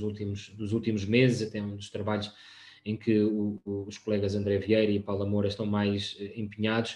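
Audible room echo around a man's voice, medium in pitch and moderate in pace. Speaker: open science project staff; presenter. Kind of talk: presentation. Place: home room. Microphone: video call.

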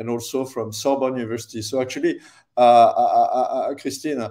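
A man's dark, mellow tone over a quiet background. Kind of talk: lecture. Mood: friendly, laughing at times.

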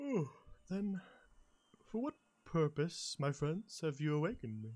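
A put-on character voice at a middle pitch moves at a moderate pace. The recording is very clean, with a silent background. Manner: slow.

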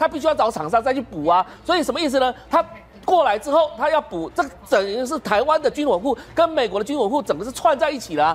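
A man's high-pitched voice at a very fast pace. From Taiwan. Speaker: military commentator. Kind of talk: TV talk show panel discussion; political commentary. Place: studio.

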